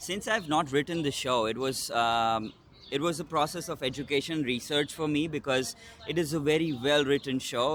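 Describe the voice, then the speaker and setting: A man speaks with an Indian accent. His pitch is fairly high. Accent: noticeable Indian. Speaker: solo stage actor and producer. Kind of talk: interview. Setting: in-person interview. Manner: hesitant, many fillers.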